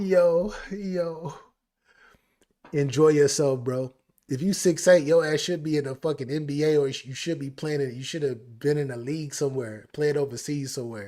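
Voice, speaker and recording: A man speaks at a moderate pace with a dark, mellow tone. His pitch is fairly high and varies in an ordinary way. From Texas, Houston. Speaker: music reaction streamer. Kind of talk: live stream chat. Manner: casual, repetitive.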